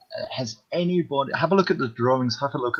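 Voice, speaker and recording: This man has a British accent and very wide pitch swings. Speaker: comics fan panelist. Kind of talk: casual chat. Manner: quiet, keeping voice down.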